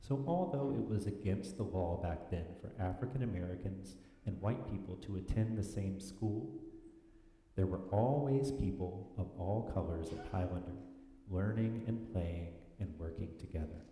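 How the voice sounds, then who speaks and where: Noticeable background noise and audible room echo around a man's very deep, low voice, at a moderate pace with ordinary pitch variation. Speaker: worship leader reading children's story. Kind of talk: reading aloud. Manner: loud.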